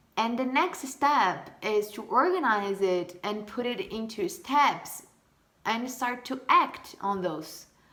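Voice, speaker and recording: In a Portuguese accent, a woman speaks at a fairly high pitch with very wide pitch swings. Her pace is very slow. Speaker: vlogger. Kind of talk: casual monologue. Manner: halting.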